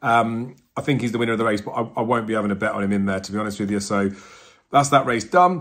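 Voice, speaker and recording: A man with an English accent talks at a very fast pace. His medium pitch has ordinary variation. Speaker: horse racing tipster. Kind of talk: betting tips video monologue.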